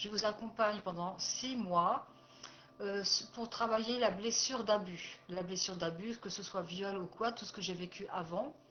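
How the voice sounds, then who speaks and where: Fairly even intonation alongside big swings in loudness. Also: woman, medium pitch for a woman, fairly slow pace. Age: 60s. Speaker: life coach and therapist. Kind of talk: personal presentation video. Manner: hesitant, many fillers.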